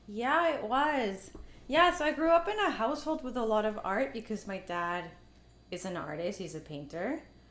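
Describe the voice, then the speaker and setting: With a Spanish accent, a woman talks at a moderate pace, her fairly high pitch making very wide swings. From Mexico, moved to Canada at eight. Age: 30s. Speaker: artist and filmmaker. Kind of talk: casual interview conversation. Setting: at her home.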